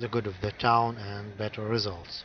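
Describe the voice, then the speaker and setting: A man with a non-native accent speaks at a fairly slow pace and a fairly low pitch. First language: not English. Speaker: game guide creator. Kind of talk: tutorial. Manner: halting, many fillers.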